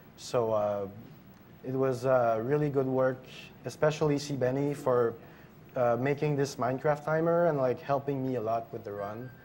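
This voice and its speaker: A man at medium pitch with a French Canadian accent, fairly even intonation and a moderate pace. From Quebec, French Canada. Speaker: speedrunner. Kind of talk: live commentary. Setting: live stream event.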